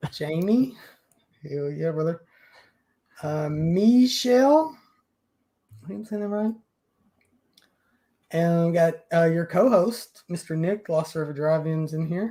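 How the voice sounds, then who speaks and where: A man with a high yet dark, mellow voice speaks fairly slowly with lively intonation. He leaves long, frequent pauses. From Kentucky. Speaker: podcast host. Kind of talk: casual chat.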